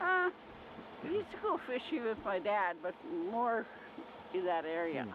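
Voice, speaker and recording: Over noticeable background noise, a woman talks at a fairly slow pace, her pitch swinging very widely between long, frequent pauses. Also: fairly high pitch for a woman. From St. Louis, Saskatchewan, Canada. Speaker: Métis elder, former teacher. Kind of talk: interview answer, storytelling.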